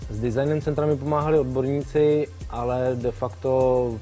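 Clear music plays in the background. A man speaks over it. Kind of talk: interview answer. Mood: calm, proud. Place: hall. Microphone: lapel.

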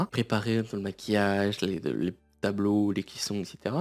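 Music plays in the background. A man speaks quietly at a moderate pace. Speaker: YouTuber. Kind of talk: story time monologue.

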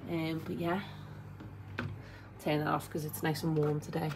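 Noticeable background noise sits behind a woman speaking with a Liverpool accent at a fairly low pitch. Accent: Scouse. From Liverpool, England. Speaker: stay-at-home mum vlogger. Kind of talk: casual talk to camera. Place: home room. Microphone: phone near.

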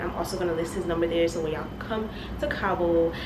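A woman talks fairly quickly, with noticeable background noise behind her. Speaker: travel vlogger. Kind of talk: casual vlog chat. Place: home room.

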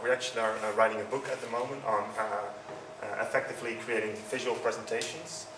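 A man with a Dutch accent at a medium pitch and a very fast pace, amid noticeable background noise. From Netherlands. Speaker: user experience consultant. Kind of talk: conference talk. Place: hall. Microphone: handheld.

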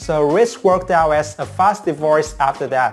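Faint music plays in the background as the speech unfolds at a fairly slow pace. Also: man. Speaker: soap opera spoiler channel host. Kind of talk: commentary. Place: home room. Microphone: lapel.

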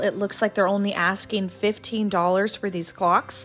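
Soft music is audible behind the speech. The voice belongs to a woman. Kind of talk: casual vlog chat. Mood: enthusiastic. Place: shop.

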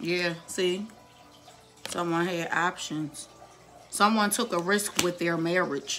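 A woman's fairly low, fairly even voice at a very slow pace, with long, frequent pauses and noticeable background noise. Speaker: tarot reader. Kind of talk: tarot reading video. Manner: slow, repetitive, deliberate.

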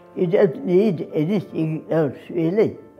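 Faint music in the background accompanies a woman as she talks. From Australia. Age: 80s+. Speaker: dancer. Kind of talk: interview. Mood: warm, grateful, reflective. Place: home room.

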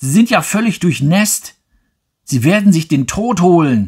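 A man's somewhat breathy, calm, soothing voice at a very slow pace, with very wide pitch swings. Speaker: audiobook narrator. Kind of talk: audiobook narration. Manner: calm, slow, soothing reading pace; expressive, wistful first-person storytelling.

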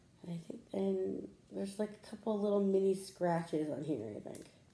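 Her tone is dark and mellow, with a moderate pace. The woman's voice carries audible room echo. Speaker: lifestyle vlogger. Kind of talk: casual vlog chat. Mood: chatty, mildly annoyed. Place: home room. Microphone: phone near.

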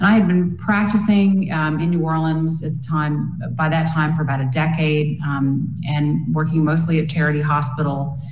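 A woman's very deep, low voice at a moderate pace with hardly any pauses, fairly even intonation and audible room echo. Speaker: physician. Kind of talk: panel discussion. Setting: video call. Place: home room. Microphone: webcam.

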